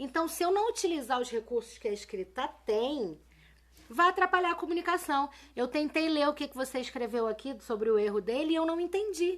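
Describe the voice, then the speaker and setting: At a fairly quick pace, a woman talks in a high pitch that swings very widely. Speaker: teacher. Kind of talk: live-stream lesson. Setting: live video stream. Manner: casual, colloquial.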